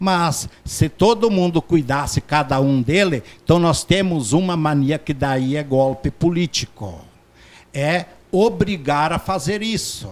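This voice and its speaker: A man speaks very slowly in a fairly high voice. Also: lively intonation. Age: 60s. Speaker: doctor. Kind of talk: interview. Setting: studio.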